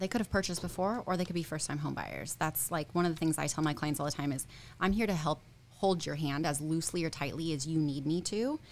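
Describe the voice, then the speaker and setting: The speech moves at a very fast pace over light background noise. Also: woman, very deep, low pitch for a woman, ordinary pitch variation. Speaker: real estate agent. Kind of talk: casual interview. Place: studio. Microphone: studio mic.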